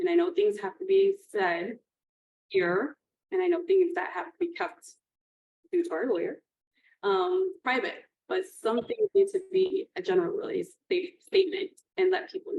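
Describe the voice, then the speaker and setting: A woman speaks loudly at an extremely high pitch with ordinary pitch variation. She keeps a moderate pace, with long, frequent pauses. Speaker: school board candidate. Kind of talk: interview answers at public meeting. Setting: public board meeting.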